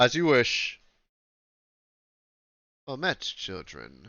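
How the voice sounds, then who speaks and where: A man performs a put-on character voice. His pitch sits in the medium range. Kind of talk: formal, archaic.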